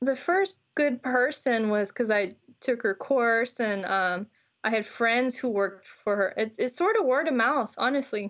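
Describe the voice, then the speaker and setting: Using a normal speaking voice, a woman with an American accent talks at a fairly slow pace in a fairly high pitch, with ordinary pitch variation and very even loudness. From Houston, Texas. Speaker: geochemistry PhD student. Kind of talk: casual interview.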